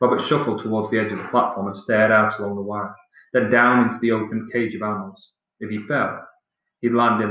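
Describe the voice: Over a quiet background, the voice is plain reading aloud.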